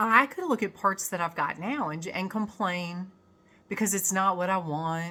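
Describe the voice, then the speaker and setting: At a fairly slow pace, a woman with a medium-pitched voice speaks in a bright, sharp tone with ordinary pitch variation. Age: 60s. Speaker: spiritual self-help vlogger. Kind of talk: casual vlog monologue. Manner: halting.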